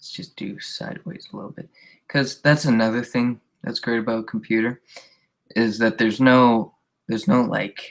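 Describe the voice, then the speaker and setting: With an ordinary speaking voice, this man keeps a moderate pace and a medium pitch, and his pitch variation is ordinary. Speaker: comic artist streamer. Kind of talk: casual live-stream commentary while drawing. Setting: live stream via video hangout. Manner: casual, rambling.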